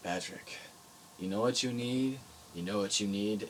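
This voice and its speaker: Putting on a gruff character voice, a man speaks at a fairly low pitch and moderate pace with fairly even intonation over clear background noise. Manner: intense, rambunctious.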